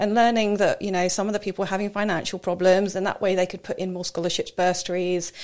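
A woman speaks with a southern English accent and fairly even intonation. The recording is very clean, with a silent background. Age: 40s. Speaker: personal trainer. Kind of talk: casual interview.

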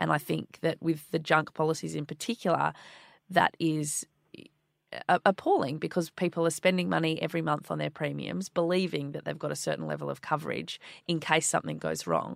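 Recorded very cleanly with a silent background and a dry, close sound with no echo, a woman speaks at a fairly quick pace. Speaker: podcast co-host. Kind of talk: casual chat.

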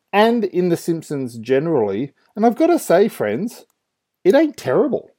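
A man's dark, mellow voice with very wide pitch swings and an Australian accent, at a moderate pace on a very clean recording with a silent background. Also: dry, close sound with no echo. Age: 30s. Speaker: podcast host, youth ministry. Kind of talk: casual solo commentary.

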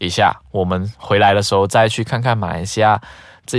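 In an ordinary speaking voice, a man talks at a fairly low pitch and a moderate pace. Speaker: podcast host. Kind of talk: casual chat.

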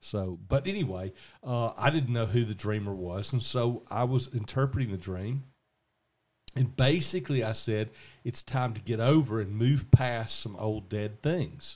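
On a very clean recording with a silent background, a man with a Southern US accent speaks at a fairly slow pace, his somewhat breathy voice at a medium pitch with ordinary pitch variation. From US South. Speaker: podcast host and radio dream interpreter. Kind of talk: casual chat. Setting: home garage studio.

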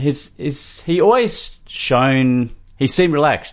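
Lively intonation marks a man's speech in an Australian accent. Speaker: sports podcast host. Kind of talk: casual chat.

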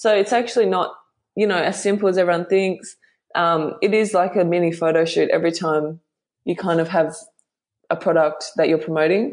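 A woman with an Australian accent, fairly low in pitch, fairly even in intonation, at a fairly quick pace over a quiet background. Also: very even loudness. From Western Australia (Bunbury). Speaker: model. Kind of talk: interview.

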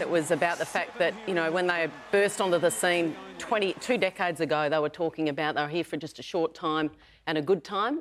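A woman with an Australian accent speaks at a fairly low pitch and a fairly quick pace. Noticeable background noise is present. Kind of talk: sports panel discussion.

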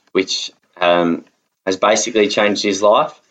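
A man with an Australian accent. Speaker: podcast host. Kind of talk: personal testimony.

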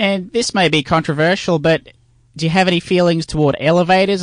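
Against a quiet background, with a dry, close sound and no echo, a man with an ordinary speaking voice and a fairly high pitch speaks at a moderate pace. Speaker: comedic radio host. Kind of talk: comedy sketch radio show. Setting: studio.

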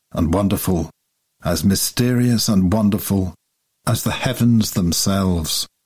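A natural reading voice with ordinary pitch variation against a quiet background

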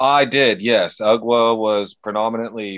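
A man of medium pitch speaks with an American accent and fairly even intonation. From US, California Central Valley. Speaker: deathmatch wrestler. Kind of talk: interview.

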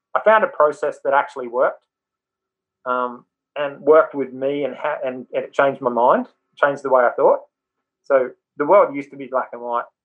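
A man's fairly high voice with an Australian accent, at a moderate pace with ordinary pitch variation, big swings in loudness, and long, frequent pauses. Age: 50s. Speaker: mindset coach, former rugby league player. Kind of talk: interview.

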